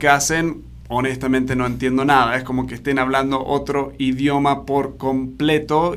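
Delivered at a moderate pace, this voice carries an American accent and fairly even intonation. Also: man. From Argentina. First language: English (speaking Spanish). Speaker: podcast host, leadership coach. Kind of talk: interview podcast.

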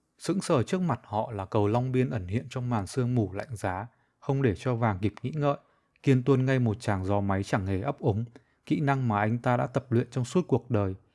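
Over a silent background in a very clean recording, a plain, everyday voice moves at a moderate pace. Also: man. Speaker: author reading own short story. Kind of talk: reading aloud.

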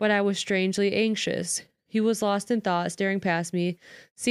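A natural reading voice is heard. Behind it, the background is quiet.

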